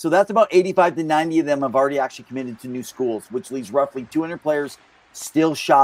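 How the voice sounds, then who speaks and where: A man speaks in a dry, close sound with no echo. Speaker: hockey podcast co-host. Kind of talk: casual podcast chat. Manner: quick.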